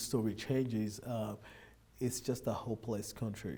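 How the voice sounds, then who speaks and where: A man with a Nigerian accent speaks at a medium pitch in a dark, mellow tone with fairly even intonation. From Nigeria, Lagos. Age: 30s. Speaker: immigrant businessman. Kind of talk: interview.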